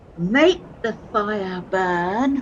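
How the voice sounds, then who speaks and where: A woman performs in a put-on character voice. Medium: stage play. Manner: hesitant, meek.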